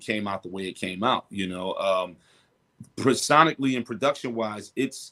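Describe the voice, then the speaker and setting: Speaking at a moderate pace, a man has a fairly low pitch, a bright, sharp tone and ordinary pitch variation. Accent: New York. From Brooklyn, New York. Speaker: rapper. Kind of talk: interview.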